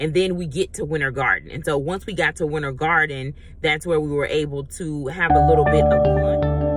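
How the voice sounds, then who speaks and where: With loud music in the background, a woman talks at a fairly quick pace in a dry sound with no echo. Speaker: travel vlogger. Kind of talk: casual vlog chat. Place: car. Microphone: phone near.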